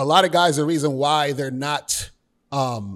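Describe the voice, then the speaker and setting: Here a man with an unremarkable speaking voice talks fairly slowly at a fairly high pitch. The recording is very clean, its background silent. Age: 40s. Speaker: dating and life coach. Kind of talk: casual interview chat.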